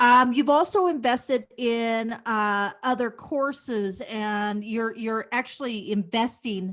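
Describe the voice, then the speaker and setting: A woman speaks at a fairly high pitch and a fairly slow pace. Her pitch variation is ordinary, and the recording is very clean with a silent background. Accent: Midwestern US. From Kansas. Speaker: podcast host, real estate agent. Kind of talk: podcast interview.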